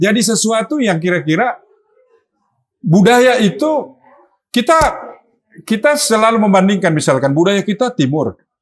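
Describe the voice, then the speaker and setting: Very wide pitch swings and very even loudness in a Sulawesi accent, at a moderate pace with long, frequent pauses. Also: man, high pitch for a man. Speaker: political party official. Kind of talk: casual chat.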